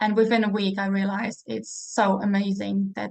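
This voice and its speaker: Somewhat breathy and medium in pitch, a woman talks at a fairly quick pace with monotone, flat intonation. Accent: Czech. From Czech Republic, Prague. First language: Czech. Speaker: network marketing seller. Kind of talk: casual interview.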